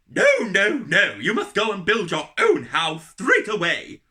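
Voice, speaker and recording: A put-on character voice, fairly high in pitch, at a fairly slow pace. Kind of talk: bedtime story. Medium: read story.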